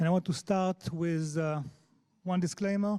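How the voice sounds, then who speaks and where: A man with a strong Israeli accent speaks at a high pitch in a dark, mellow tone. His pace is moderate and his pitch variation ordinary, on a very clean recording with a silent background. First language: Hebrew. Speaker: head of accessibility at a tech company. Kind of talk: conference talk. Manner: halting, many fillers.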